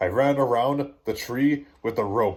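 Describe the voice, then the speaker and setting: Putting on a character voice at a medium pitch, a man talks at a fairly slow pace in a very clean recording with a silent background. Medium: read story. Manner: teasing.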